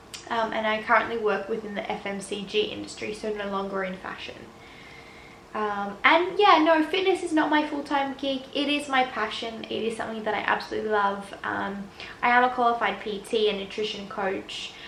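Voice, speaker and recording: With audible room echo and noticeable background noise, a woman in an Australian accent talks at a fairly quick pace, her fairly high voice full of lively intonation. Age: 20s. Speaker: vlogger, fitness coach. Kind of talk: casual Q&A vlog.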